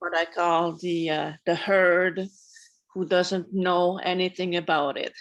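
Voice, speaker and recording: A woman with a fairly low pitch speaks very slowly in a monotone, flat intonation. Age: 70s. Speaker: moon circle participant. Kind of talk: sharing in group circle.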